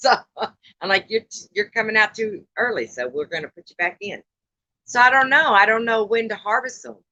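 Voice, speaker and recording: In a Texan accent, a woman speaks at a moderate pace with lively intonation and a bright, sharp tone, in a dry, close sound with no echo. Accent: Texan Southern US. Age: 60s. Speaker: live-stream host. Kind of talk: casual chat. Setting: outdoors live stream.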